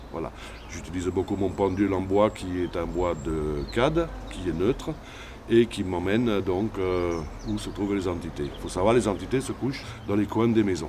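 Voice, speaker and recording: Noticeable background noise surrounds a man whose pitch is very deep and low. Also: ordinary pitch variation, moderate pace. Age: 60s. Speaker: shaman healer. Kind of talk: interview.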